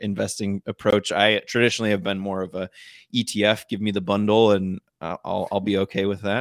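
In a very clean recording with a silent background, a man speaks with an American accent and an ordinary speaking voice at a fairly low pitch. The sound is dry and close with no echo, and his pace is fairly quick. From northern Michigan. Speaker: podcast co-host discussing investing. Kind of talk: casual chat.

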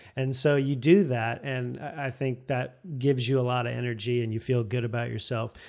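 This man talks at a fairly quick pace with hardly any pauses, his medium-pitched, fairly even delivery coming in a plain, everyday voice. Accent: American. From Florida, US (St. Petersburg). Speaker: YouTuber and cinematographer. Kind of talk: casual interview chat.

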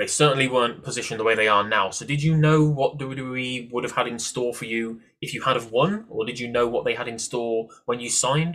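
A man with a British accent talks at a fairly quick pace, leaving hardly any pauses. His medium pitch holds a fairly even intonation. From UK. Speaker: podcast host. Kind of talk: interview.

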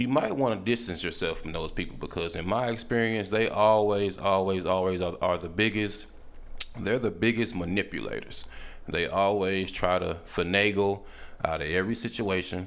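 Audible room echo around a man's moderately paced speech, his pitch varying in an ordinary way. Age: 30s. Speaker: podcast host. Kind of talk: casual monologue. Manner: animated.

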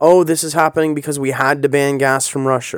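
A normal speaking voice with a Canadian accent talks at a moderate pace, the recording very clean with a silent background and a dry, close sound with no echo. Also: man. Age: 30s. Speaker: political podcast host. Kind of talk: casual political commentary monologue. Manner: conversational, many filler words.

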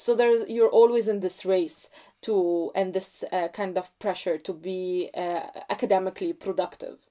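A woman's medium-pitched voice with an Egyptian accent, dark and mellow in tone, at a moderate pace with fairly even intonation. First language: Arabic. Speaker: graduate student. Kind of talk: interview conversation. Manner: hesitant with fillers.

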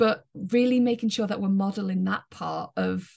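A woman talks at a moderate pace with an English accent. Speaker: positive psychology coach. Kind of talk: interview.

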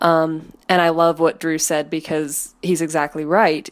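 At a moderate pace, a woman talks in a plain, everyday voice. Her pitch sits fairly low. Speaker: caller. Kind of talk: recorded voicemail message.

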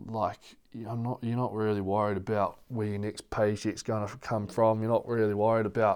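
A man speaks at a moderate pace in a New Zealand accent with a medium pitch. The recording is very clean, with a silent background. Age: 20s. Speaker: professional rugby player. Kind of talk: casual interview.

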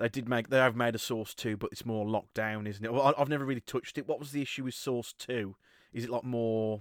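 Fairly quick delivery with fairly even intonation and a dry, close sound with no echo. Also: man. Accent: British. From Britain. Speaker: podcast host. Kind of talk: casual chat. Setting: remote call.

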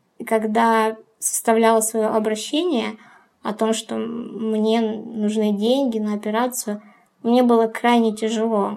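A woman speaks at a fairly high pitch and a very slow pace. Her intonation is flat and monotone. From Ukraine. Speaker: business coordinator. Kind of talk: personal monologue.

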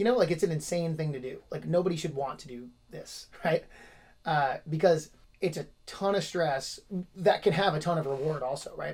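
In an ordinary speaking voice, a man with fairly high pitch talks at a moderate pace with big swings in loudness. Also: ordinary pitch variation. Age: 30s. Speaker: podcast host and gym owner. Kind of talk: casual interview.

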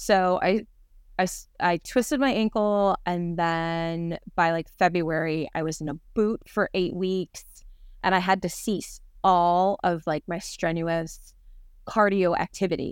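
With a normal speaking voice and ordinary pitch variation, a woman talks rather unhurriedly. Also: medium pitch for a woman, very clean recording, silent background. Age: 40s. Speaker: nutrition coaching client. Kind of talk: casual interview.

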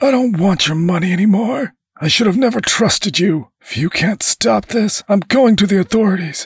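Shouting in a put-on character voice, a man with a high pitch and a husky, rough edge shows ordinary pitch variation in a dry, close sound with no echo. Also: moderate pace.

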